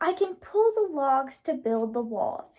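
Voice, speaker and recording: A woman's put-on character voice, high in pitch and at a fairly slow pace. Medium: read story.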